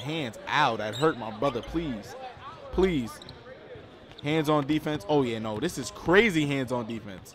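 A man at a fairly high pitch and moderate pace, with noticeable background noise. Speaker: sports commentator. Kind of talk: live sports commentary, reacting to a basketball game. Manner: animated, casual, talking to the audience.

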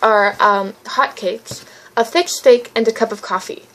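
A woman speaks with ordinary pitch variation while noticeable background noise runs underneath. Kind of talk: reading a written essay aloud.

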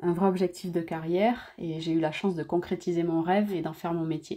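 This voice has a dark, mellow tone. Its intonation is fairly even. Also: woman. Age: 30s. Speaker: professional surfer. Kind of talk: scripted narration. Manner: hesitant with fillers.

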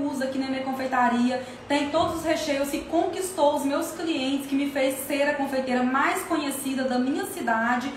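At a moderate pace, a woman talks in a high pitch with ordinary pitch variation, along with light background noise and audible room echo. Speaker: course seller. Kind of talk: casual live Q&A promotion. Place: kitchen. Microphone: phone near.

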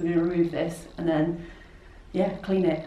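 A woman talks at a very fast pace in a fairly low pitch, with audible room echo and light background noise. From South Yorkshire / North Lincolnshire border, England. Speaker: photographer and artist. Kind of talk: casual vlog talk to camera. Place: workshop.

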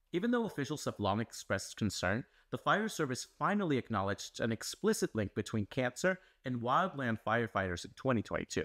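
A man talks at a fairly quick pace, his pitch swinging very widely over a quiet background. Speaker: news explainer host. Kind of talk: scripted news explainer. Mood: serious, earnest.

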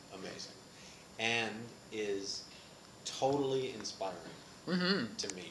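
The speech moves at a fairly slow pace over noticeable background noise. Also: man. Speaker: interviewee. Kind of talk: interview answer. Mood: playful, laughing. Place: meeting room.

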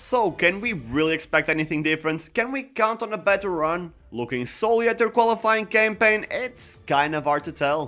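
A man's bright, sharp tone at a fairly quick pace. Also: lively intonation. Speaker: football channel host. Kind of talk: commentary. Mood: wry, critical. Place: home room. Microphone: studio mic.

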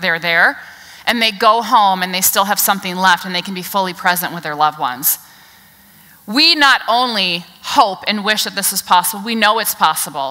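A woman speaks at a moderate pace with lively intonation and big swings in loudness. The background is quiet. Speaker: keynote speaker. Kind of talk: keynote speech. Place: stage.

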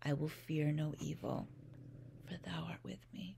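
A woman talks in a calm, soothing tone at a fairly slow pace. There is light noise behind her. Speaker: parent, meditation guide. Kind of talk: guided bedtime meditation with scripture reading. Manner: calm, slow, soothing. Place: home room. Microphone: phone near.

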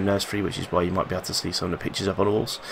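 A man talks with a fairly low pitch. Noticeable background noise runs under his voice. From London. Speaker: gaming youtuber. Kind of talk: gameplay commentary. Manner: halting. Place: home room. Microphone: headset.

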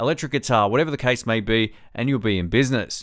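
The setting is quiet. A man talks with lively intonation. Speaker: tech reviewer. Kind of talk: product review. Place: home room. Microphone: studio mic.

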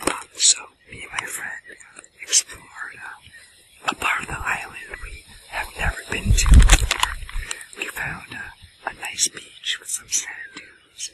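A man whispers in a soft-spoken way at a fairly slow pace, with a dry sound with no echo and loud background noise. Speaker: food vlogger. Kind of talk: casual vlog chat. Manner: soft close whisper, storytelling. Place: forest.

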